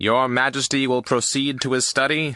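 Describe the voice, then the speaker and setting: Putting on a character voice, a man speaks at a medium pitch and moderate pace in a monotone, flat intonation against a quiet background. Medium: read story. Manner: formal, deferential.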